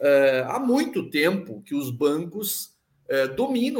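A man talks in a fairly high pitch. His pitch swings very widely. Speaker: psychologist and local politician. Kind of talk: casual interview chat. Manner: halting, many repetitions.

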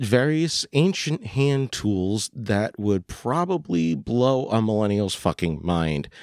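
The man's voice is fairly low in pitch, with lively intonation. He talks at a very slow pace. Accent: American. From Pennsylvania, US (coal country, northeast PA). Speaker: podcast host, military veteran. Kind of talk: solo personal monologue. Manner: hesitant, many fillers.

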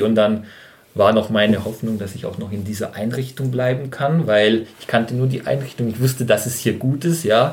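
Normal pitch movement in a slightly breathy voice. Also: man. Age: 30s. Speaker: trainee kindergarten teacher. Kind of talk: casual chat.

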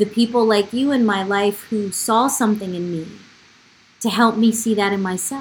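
A somewhat breathy woman's voice at medium pitch with an American accent, ordinary pitch variation and a fairly slow pace. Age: 40s. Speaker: podcast host. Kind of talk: interview.

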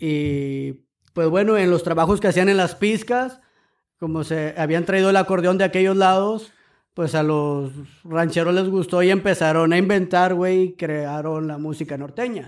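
A very clean recording with a silent background captures a man speaking at a high pitch. His pace is fairly slow, with ordinary pitch variation. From Monterrey, Nuevo León, Mexico. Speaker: guest. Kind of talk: casual chat.

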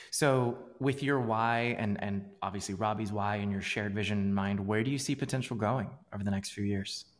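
With an unremarkable speaking voice, a man talks at a fairly quick pace and fairly low pitch, with fairly even intonation and hardly any pauses, on a very clean recording with a silent background. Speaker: podcast host and startup founder. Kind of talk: casual interview.

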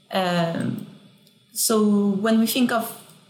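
A woman speaks at a medium pitch over noticeable background noise. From France. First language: French. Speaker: architect and professor. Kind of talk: casual interview conversation.

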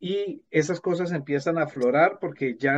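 A normal speaking voice from a man, fairly high in pitch, with lively intonation at a fairly slow pace. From Colombia. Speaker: language teacher and author. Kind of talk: interview conversation.

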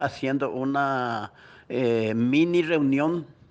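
A man's fairly high-pitched voice is heard in quiet surroundings. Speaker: neighborhood community representative. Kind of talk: interview testimony. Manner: halting, with fillers.

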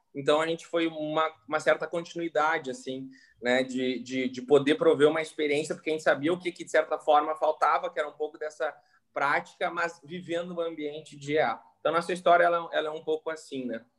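This is an ordinary speaking voice from a man with a fairly high pitch. He talks at a fairly quick pace with fairly even intonation. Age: 20s. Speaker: entrepreneur. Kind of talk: casual interview.

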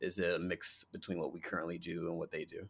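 Speaking with an American accent at a very fast pace, a man is heard in a very clean recording with a silent background. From New Jersey (North Jersey). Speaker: podcast host. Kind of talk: casual chat.

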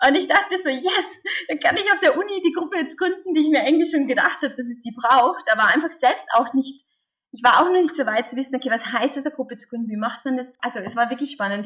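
A woman talks at a very fast pace with very wide swings in pitch. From Austria, Carinthia. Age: 20s. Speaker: pro-life activist. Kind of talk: interview.

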